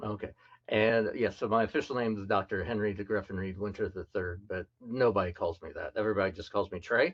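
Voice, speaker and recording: Talking at a very fast pace, a man with an American accent keeps his fairly low voice fairly even in intonation. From US South, Memphis, Tennessee and rural Mississippi. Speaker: scientist. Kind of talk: presentation talk.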